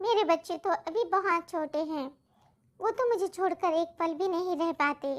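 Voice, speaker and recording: A cartoonish character voice, female-sounding and extremely high in pitch. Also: moderate pace. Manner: polite, respectful to the king.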